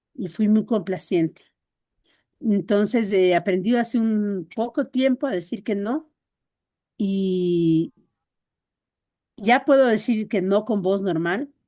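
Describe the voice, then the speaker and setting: Against a quiet background, a woman speaks very slowly with a dark, mellow tone, a medium pitch and ordinary pitch variation. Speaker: workshop participant. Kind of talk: personal sharing in group talk. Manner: friendly, calm.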